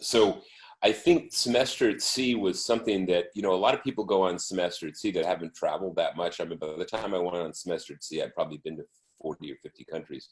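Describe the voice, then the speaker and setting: The speech comes at a very fast pace. The loudness swings widely. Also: man. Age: 60s. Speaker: photographer, former faculty member. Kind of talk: interview. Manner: animated.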